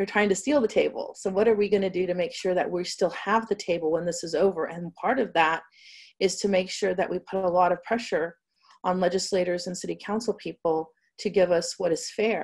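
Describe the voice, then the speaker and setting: Here a woman talks in a normal speaking voice. Her intonation stays fairly even. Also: medium pitch for a woman, fairly quick pace, quiet background. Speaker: cannabis company executive. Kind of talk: interview. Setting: video call.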